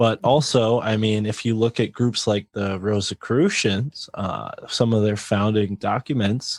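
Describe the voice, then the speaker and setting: A man's fairly low voice in a Connecticut accent, fairly slow and fairly even in intonation, on a very clean recording with a silent background and a dry, close sound free of echo. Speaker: podcaster and author. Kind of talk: casual interview chat.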